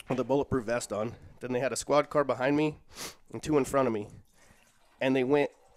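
Speaking at a very fast pace yet with long, frequent pauses, a man keeps a fairly even intonation in a dry sound with no echo. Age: 40s. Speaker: social worker and jiu-jitsu practitioner; podcast guest. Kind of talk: casual interview chat; interview answer. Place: home room. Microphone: headset.

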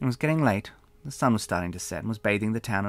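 Lively intonation over plain reading aloud.

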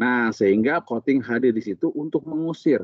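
Fairly quick speech in a dry sound with no echo and a quiet background. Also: man. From Sukabumi, West Java, Indonesia; West Java, Indonesia. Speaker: coating technical expert and instructor; instructor. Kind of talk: technical interview. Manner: casual, explanatory. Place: office. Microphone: video call.

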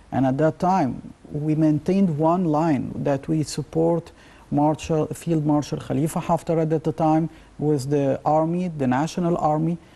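A man's dark, mellow, fairly high voice, flat and monotone, at a fairly slow pace and very even loudness. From Egypt. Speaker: professor of geopolitics. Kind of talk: TV interview. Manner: halting. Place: studio. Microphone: lapel.

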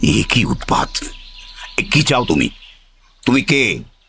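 A man puts on a character voice that is raspy and medium in pitch. He talks at a moderate pace. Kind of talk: radio drama. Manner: suspicious, questioning.

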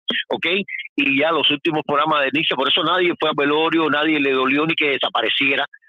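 A man rattles off words at a very fast pace in a fairly high pitch. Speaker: truck driver calling in. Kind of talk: phone-in call. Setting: phone call from truck.

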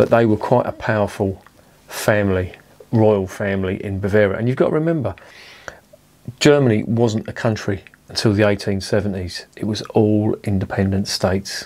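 In an ordinary speaking voice, a man with fairly low pitch talks at a moderate pace with ordinary pitch variation. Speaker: beer reviewer. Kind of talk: casual vlog chat. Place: home room.

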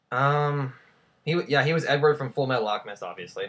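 At a fairly quick pace, a man speaks with a medium pitch and a fairly bright tone. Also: lively intonation.

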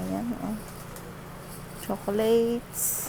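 A woman at a very slow pace, in a dry sound with no echo, over noticeable background noise. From Philippines. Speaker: vlogger, factory worker abroad; vlogger. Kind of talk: casual vlog narration. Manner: animated. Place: shop. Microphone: earbuds.

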